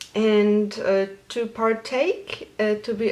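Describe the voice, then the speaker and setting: Over noticeable background noise, a woman speaks at a fairly high pitch with a Polish accent. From Poland. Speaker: knitting podcaster. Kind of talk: casual vlog.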